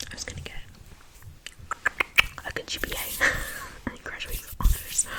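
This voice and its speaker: A woman whispers against noticeable background noise. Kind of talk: ASMR whisper ramble. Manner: whispered; casual, rambling.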